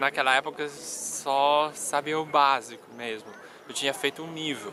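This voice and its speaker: A man with fairly even intonation and a fairly high pitch speaks at a moderate pace over noticeable background noise. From Colombia, Medellín. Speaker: language learning YouTuber. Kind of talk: personal vlog storytelling. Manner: casual, hesitant with repetitions.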